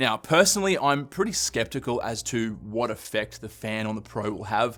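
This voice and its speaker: Speaking fairly quickly with lively intonation in an Australian accent, the voice comes through on a very clean recording with a silent background. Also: man. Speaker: tech youtuber. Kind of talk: tech review talk to camera. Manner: casual, conversational.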